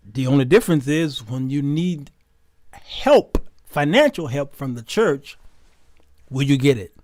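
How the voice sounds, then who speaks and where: With long, frequent pauses and big swings in loudness, a man talks at a fairly slow pace using ordinary pitch variation. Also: fairly high pitch for a man. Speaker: talk show host. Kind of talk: live-stream talk show. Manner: calmer than usual, not screaming; conversational, repetitive.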